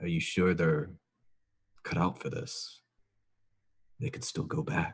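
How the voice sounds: In a put-on character voice, a man speaks slowly at a low pitch with a slightly husky edge and lively intonation.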